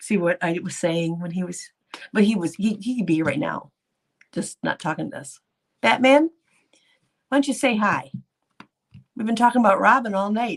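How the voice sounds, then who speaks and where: Using a medium-pitched voice with vocal fry, a woman speaks animatedly at a moderate pace, her pitch swinging very widely. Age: 60s. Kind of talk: casual live stream chat. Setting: live stream with chat.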